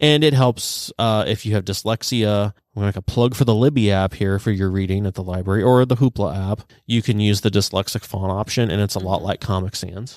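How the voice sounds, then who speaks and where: Recorded very cleanly against a silent background, a man talks at a fairly quick pace in a plain, everyday voice, fairly low in pitch with ordinary pitch variation. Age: 30s. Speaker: librarian. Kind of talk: casual chat.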